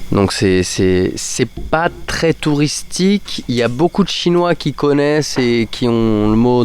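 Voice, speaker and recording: Over noticeable background noise, a man speaks at a fairly slow pace and medium pitch, with ordinary pitch variation. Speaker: teacher and expat podcaster. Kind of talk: casual podcast monologue. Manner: hesitant, many fillers and repetitions.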